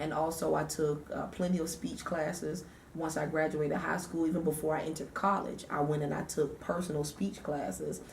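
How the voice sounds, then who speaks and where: Against noticeable background noise and audible room echo, a woman with an American accent talks fairly quickly at a very deep, low pitch with ordinary pitch variation. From US South, Savannah, Georgia. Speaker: radio DJ and nonprofit founder. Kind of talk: interview.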